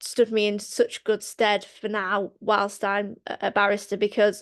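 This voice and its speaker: With a Lancashire accent, a woman speaks fairly slowly at a medium pitch over a quiet background, the sound dry and close with no echo. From Lancashire, northern England. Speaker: barrister, former solicitor. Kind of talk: panel talk on career path. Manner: hesitant, many fillers.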